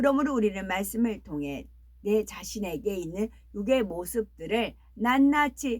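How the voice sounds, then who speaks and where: At a very slow pace, a woman speaks with a fairly high pitch and lively intonation. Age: 60s. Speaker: preacher. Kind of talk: sermon; casual aside.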